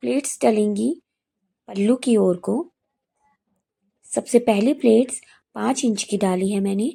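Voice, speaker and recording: A woman's fairly high voice with a dark, mellow tone at a very slow pace, on a very clean recording with a silent background. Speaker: sewing tutorial vlogger. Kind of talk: tutorial.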